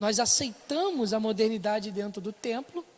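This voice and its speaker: A woman's voice at a moderate pace with lively intonation. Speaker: Sunday school teacher. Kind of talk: Bible class lecture. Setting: church, filmed for internet stream.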